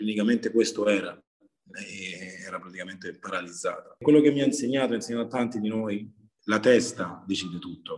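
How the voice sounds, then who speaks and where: With an unremarkable speaking voice, a man talks at a fairly quick pace and medium pitch, his pitch variation ordinary and his loudness swinging widely. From Rome, Italy. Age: 30s. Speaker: chef and rapper. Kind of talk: interview.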